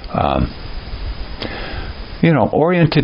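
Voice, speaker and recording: Noticeable background noise sits behind the recording. A man speaks at a moderate pace. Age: 60s. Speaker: video essayist. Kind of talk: monologue commentary. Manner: hesitant, with frequent fillers.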